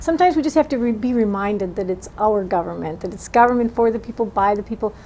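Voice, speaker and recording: Over light background noise, a woman talks at a very fast pace in a dark, mellow tone with a fairly high pitch. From Wisconsin. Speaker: political candidate; candidate. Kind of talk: interview. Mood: earnest, engaged. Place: studio.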